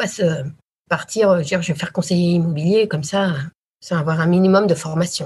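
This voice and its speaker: At a fairly quick pace, a woman talks in a somewhat breathy voice with fairly even intonation. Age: 40s. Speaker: former journalist turned real estate agent. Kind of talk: interview about her career change.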